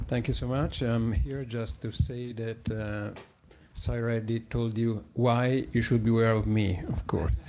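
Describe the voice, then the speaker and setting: With an Italian accent and fairly even intonation, a man talks in a room with audible echo. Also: medium pitch for a man. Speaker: journalist. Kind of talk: conference talk. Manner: halting.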